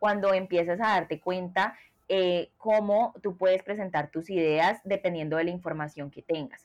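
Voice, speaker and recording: A woman's unremarkable speaking voice at a medium pitch, with fairly even intonation and a moderate pace. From Colombia. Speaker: product designer. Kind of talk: interview.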